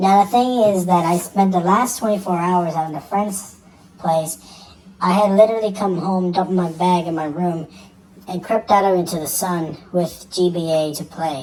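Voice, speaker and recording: A female-sounding voice speaks at a moderate pace and medium pitch for a woman. It is a put-on character voice. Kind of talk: horror narration. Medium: read story. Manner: halting, stumbling over words.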